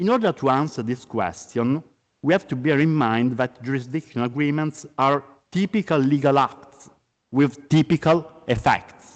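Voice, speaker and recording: A man speaks at a moderate pace in an Italian accent, with a fairly high pitch and ordinary pitch variation. The recording is dry and close, with no echo. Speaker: law professor. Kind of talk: conference lecture. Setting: conference. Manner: formal.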